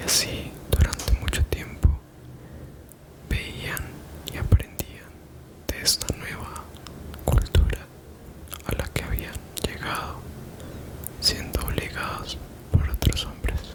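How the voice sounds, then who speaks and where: A man whispers very slowly with long, frequent pauses and big swings in loudness, over noticeable background noise. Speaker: 3D artist, ASMR storyteller. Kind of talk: ASMR bedtime story narration. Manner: soft-spoken, relaxing.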